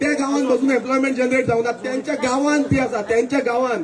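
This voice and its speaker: Over noticeable background noise, a man talks in an extremely high pitch with fairly even intonation. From Goa. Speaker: political party president; speaker. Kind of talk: political rally speech. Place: stage. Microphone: pa.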